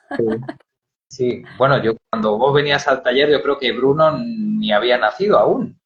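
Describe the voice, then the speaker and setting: Music plays in the background as a man speaks at a fairly slow pace. His pitch is medium, with ordinary variation. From Spain. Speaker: storyteller. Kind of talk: interview. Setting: Instagram live video call.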